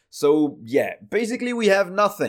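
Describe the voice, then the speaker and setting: Pitch swings very widely in this voice with a French accent. The recording is very clean, with a silent background. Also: man. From France. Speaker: tech news podcast host. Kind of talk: solo news commentary. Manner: casual, frequent filler uh.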